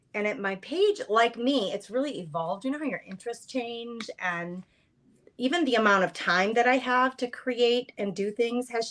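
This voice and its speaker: A plain, everyday voice from a woman with an American accent, fairly high in pitch, with lively intonation at a moderate pace. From Boston. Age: 50s. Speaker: craft content creator. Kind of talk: casual chat. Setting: live stream.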